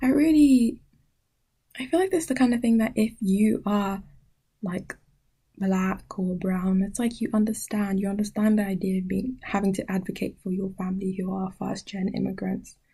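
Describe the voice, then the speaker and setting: At a moderate pace, a woman of medium pitch speaks in a somewhat breathy voice with a dark, mellow tone and ordinary pitch variation. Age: 20s. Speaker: podcast host. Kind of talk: casual chat. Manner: halting, with frequent self-corrections.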